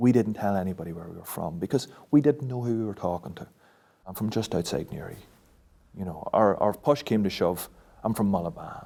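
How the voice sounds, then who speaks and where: A man in a Northern Irish accent talks at a fairly quick pace, his fairly low voice dark and mellow in tone, with lively intonation. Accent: South Armagh Irish. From South Armagh, Northern Ireland. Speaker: local resident. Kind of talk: interview testimony.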